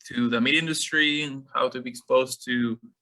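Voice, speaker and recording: A man speaks with a Mexican accent and a bright, sharp tone. His intonation stays fairly even. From Mexico, Monterrey. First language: Spanish. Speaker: meat scientist. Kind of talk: webinar lecture. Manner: halting, many fillers.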